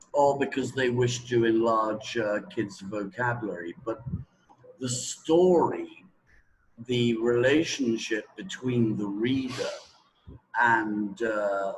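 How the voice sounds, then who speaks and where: In a British accent, a man talks very slowly at medium pitch with ordinary pitch variation. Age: 60s. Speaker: teacher trainer. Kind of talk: interview. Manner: hesitant, many fillers.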